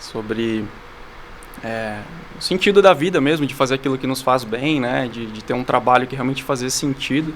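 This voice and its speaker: Over noticeable background noise, a man speaks at a moderate pace in a medium pitch, with ordinary pitch variation and big swings in loudness. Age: 30s. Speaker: entrepreneur, founder of a cat café franchise. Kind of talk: podcast interview. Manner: hesitant fillers, frequent "né".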